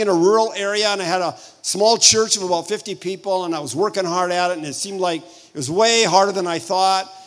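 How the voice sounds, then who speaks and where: Against noticeable background noise, a man speaks with a high pitch. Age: 70s. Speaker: pastor. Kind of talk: sermon. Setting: church. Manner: animated.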